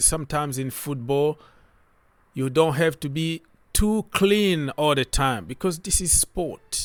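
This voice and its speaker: Lively intonation marks this man's fairly high-pitched voice at a fairly slow pace. The sound is dry and close, with no echo. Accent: non-native. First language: not English. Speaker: football YouTuber. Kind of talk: casual commentary video. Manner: animated.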